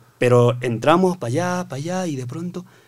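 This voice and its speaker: With a Chilean accent, a man talks at a fairly quick pace. His pitch varies in an ordinary way over a quiet background. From Bolivia, Oruro; Bolivia. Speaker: construction worker; podcast guest. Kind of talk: casual chat. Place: studio. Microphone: studio mic.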